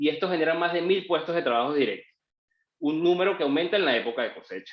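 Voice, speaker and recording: Ordinary in pitch variation and fairly quick, a man uses an ordinary speaking voice at a fairly high pitch. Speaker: lawyer. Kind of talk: webinar presentation.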